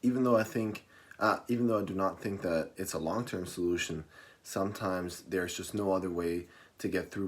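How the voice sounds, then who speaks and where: A man's pace is fairly quick. His pitch sits very deep and low. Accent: non-native. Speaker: college student. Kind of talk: class persuasive speech.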